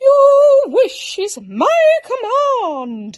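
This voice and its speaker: A loud, squeaky, female-sounding put-on character voice at an extremely high pitch. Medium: read story. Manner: grandiose yet impatient.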